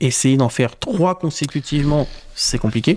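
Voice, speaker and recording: A dark, mellow tone in a very clean recording with a silent background. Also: man. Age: 30s. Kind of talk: casual interview chat.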